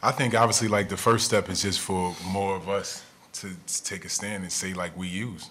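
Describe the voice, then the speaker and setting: In an American accent, a man with fairly low pitch and a plain, everyday voice talks at a moderate pace with fairly even intonation. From New Jersey. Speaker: former pro basketball player. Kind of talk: panel discussion. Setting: stage with audience.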